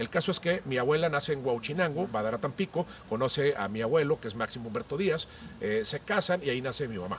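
Over noticeable background noise, a man talks very fast in a fairly high voice. His intonation is lively. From Monterrey, northeastern Mexico. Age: 50s. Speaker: podcast host, cook and columnist. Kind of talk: casual chat. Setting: at home, outdoors in garden.

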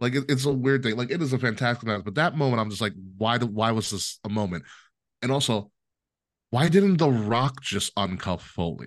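An unremarkable speaking voice from a man with an American accent, medium pitch, lively intonation and a fairly quick pace. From New York, Long Island. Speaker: podcast host and network manager. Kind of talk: casual chat.

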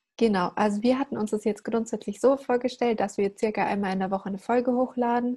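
A woman talks very fast in a fairly high, somewhat breathy voice with a dark, mellow tone. Her intonation is flat and monotone, and the background is quiet. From Germany. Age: young. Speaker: podcast host. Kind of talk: casual chat.

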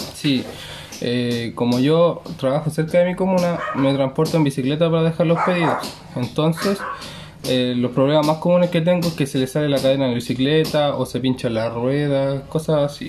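A man with a Chilean accent speaks at a moderate pace in a fairly high voice, with ordinary pitch variation and noticeable background noise. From Chile, Santiago metropolitan region. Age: 20s. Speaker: delivery rider. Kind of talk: interview.

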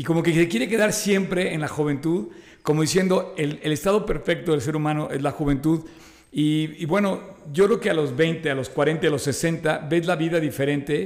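At a moderate pace, the man uses an ordinary speaking voice pitched fairly high. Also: ordinary pitch variation. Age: 60s. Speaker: podcast co-host. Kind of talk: casual chat.

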